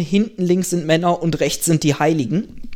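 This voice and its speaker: With ordinary pitch variation and a moderate pace, a man uses an unremarkable speaking voice. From Germany. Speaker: podcaster and doctoral researcher. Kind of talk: casual chat.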